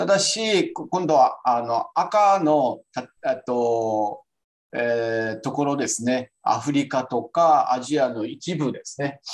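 A man speaking at a very slow pace, with lively intonation. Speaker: physician presenting a journal paper. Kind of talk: online journal club presentation. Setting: video call.

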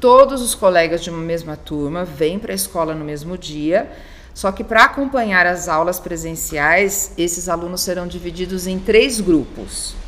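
Over noticeable background noise, a woman talks at a moderate pace with a fairly low pitch and lively intonation. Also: big swings in loudness. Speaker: school coordinator. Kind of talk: informational interview.

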